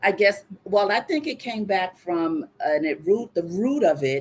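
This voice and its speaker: A woman talks in a plain, everyday voice. Her intonation is lively and her pace moderate. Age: 60s. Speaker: guest sharing personal story on live show. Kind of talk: live call-in coaching conversation.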